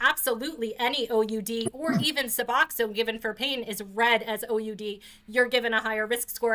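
A woman with a New York accent speaks in a bright, sharp tone at a fairly high pitch with fairly even intonation. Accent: New York area American. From New Jersey (New York area). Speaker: podcast host and patient advocate. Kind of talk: casual interview conversation.

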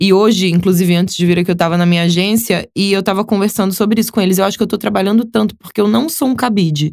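This woman speaks at a very fast pace with hardly any pauses. Her pitch is medium, her pitch variation ordinary, and her loudness very even. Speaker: influencer and model. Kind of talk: casual interview.

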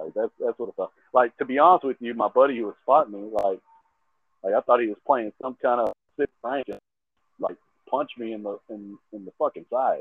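Speaking at a fairly quick pace, a man has a Texan accent. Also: big swings in loudness. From Texas. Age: 30s. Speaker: fitness trainer. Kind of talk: casual chat.

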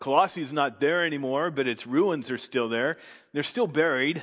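A man with an unremarkable speaking voice, a fairly high pitch and ordinary pitch variation, over a quiet background. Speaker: preacher. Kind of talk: sermon; fervent prayer. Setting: church. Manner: formal; earnest.

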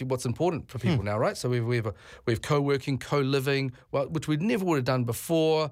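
On a very clean recording with a silent background, a man with a New Zealand accent talks at a fairly quick pace, fairly high in pitch, with ordinary pitch variation. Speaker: tourism business leader. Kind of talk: radio interview. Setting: studio.

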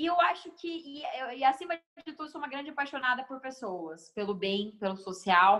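Speech comes at a moderate pace. Both pitch and loudness swing widely, the pitch very much so. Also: woman, high pitch for a woman. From Guarulhos, São Paulo, Brazil. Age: 20s. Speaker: NGO founder and speaker. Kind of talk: casual interview.

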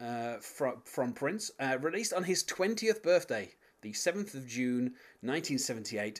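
Very wide pitch swings with a British accent. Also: man. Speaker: podcast host. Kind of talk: casual podcast discussion. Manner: hesitant, filler-heavy.

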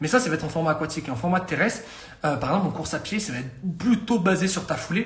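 Amid noticeable background noise and audible room echo, a man speaks in an animated tone with ordinary pitch variation. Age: 20s. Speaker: fitness coach. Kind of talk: live-stream talk. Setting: live stream.

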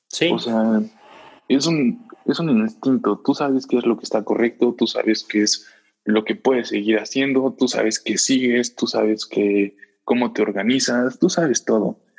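A man with a Mexican accent speaks at a fairly slow pace in a medium pitch, with ordinary pitch variation and very even loudness. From Mexico, Puebla. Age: 20s. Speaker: podcast guest, student. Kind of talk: casual chat.

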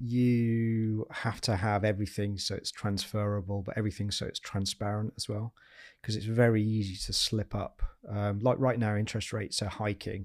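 A fairly low-pitched male voice, monotone and flat in intonation, at a moderate pace. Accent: Yorkshire. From Yorkshire, northern England. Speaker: property investor and former army officer. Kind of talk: interview conversation.

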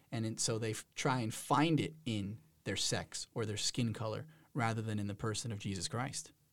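A man with an American accent talks in a normal speaking voice at medium pitch. He keeps a moderate pace with ordinary pitch variation. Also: very clean recording, silent background. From New Jersey. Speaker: university program administrator. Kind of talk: casual interview. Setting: studio.

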